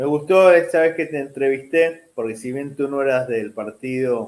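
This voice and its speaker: Speaking at a fairly slow pace, a man with a medium pitch has an unremarkable speaking voice and ordinary pitch variation. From Argentina. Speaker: journalist. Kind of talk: interview.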